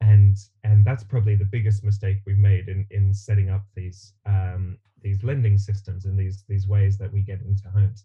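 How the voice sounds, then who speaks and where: Speaking in an Australian accent, a man has a dark, mellow, somewhat breathy tone and a fairly low pitch. His pace is moderate and his intonation flat and monotone. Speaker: builder and teacher. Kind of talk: interview.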